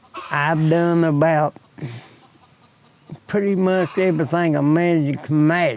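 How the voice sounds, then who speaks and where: A man with an Appalachian accent at a fairly high pitch, fairly slow and very even in loudness, with long, frequent pauses. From US Appalachia, Wyoming County, West Virginia. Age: 70s. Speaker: retired laborer. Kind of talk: interview.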